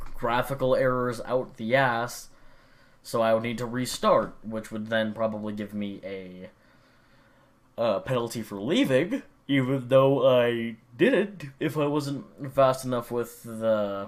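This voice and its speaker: At a fairly slow pace, a man uses an ordinary speaking voice with medium pitch and ordinary pitch variation. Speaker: gaming vlogger. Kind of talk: casual monologue.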